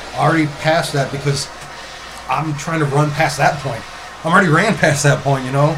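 Speaking with fairly even intonation at a fairly high pitch, a man is heard through noticeable background noise and audible room echo. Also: fairly quick pace. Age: 40s. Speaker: tattoo artist turned cannabis entrepreneur. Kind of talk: casual chat.

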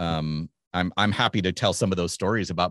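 A man talks at a moderate pace in a very deep, low pitch, with fairly even intonation. The sound is dry and close with no echo, against a quiet background. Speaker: tennis commentator. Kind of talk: casual chat. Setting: video call. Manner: soft-spoken.

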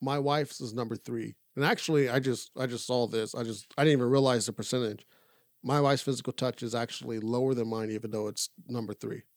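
In a very clean recording with a silent background and a dry, close sound with no echo, a man of medium pitch talks at a very fast pace with fairly even intonation. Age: 30s. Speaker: podcast co-host. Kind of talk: casual chat.

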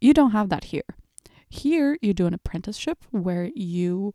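The woman's medium-pitched voice has a dark, mellow tone and lively intonation. The sound is dry and close with no echo, on a very clean recording with a silent background. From Portugal and Switzerland. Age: 20s. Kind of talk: casual monologue.

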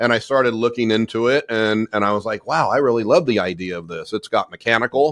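Talking at a fairly quick clip with hardly any pauses, the speaker has a Californian accent and ordinary pitch variation, recorded dry and close with no echo against a quiet background. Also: man. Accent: Californian American. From US, Southern California. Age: 40s. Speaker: business owner and coach. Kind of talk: interview.

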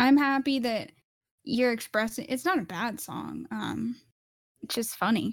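The woman's fairly high voice carries vocal fry and ordinary pitch variation. She moves at a fairly slow pace with long, frequent pauses. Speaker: podcast co-host. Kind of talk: casual chat. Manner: animated.

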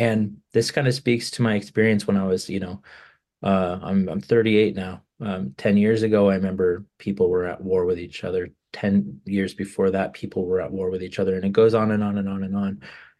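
With an American accent and a dark, mellow tone, the speaker moves at a fairly quick pace with fairly even intonation over a quiet background. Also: man, fairly low pitch for a man. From California. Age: 30s. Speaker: musician. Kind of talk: interview. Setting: video call.

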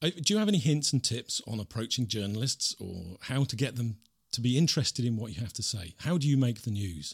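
The recording has a dry, close sound with no echo. A man talks in a medium-pitched, somewhat breathy voice. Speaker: radio host. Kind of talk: interview.

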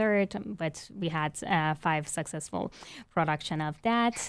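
In a Persian accent, a woman speaks at a fairly slow pace and a fairly low pitch against a quiet background. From Iran. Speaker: violinist and arts administrator. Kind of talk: interview.

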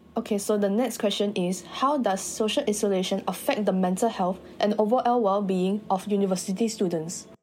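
With music in the background, a woman talks at a fairly quick pace with hardly any pauses, a medium pitch, ordinary pitch variation and very even loudness. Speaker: podcast host. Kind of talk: scripted interview. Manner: formal.

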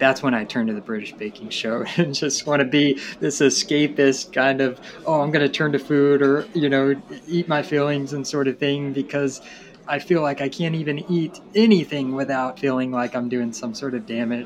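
Speaking at a moderate pace, a man with an American accent has a fairly high pitch and ordinary pitch variation. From Tennessee. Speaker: graduate student. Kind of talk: casual chat.

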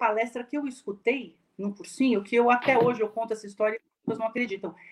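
In a fairly high pitch, a woman speaks fairly quickly. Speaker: speech and hearing professor. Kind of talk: lecture. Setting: video call.

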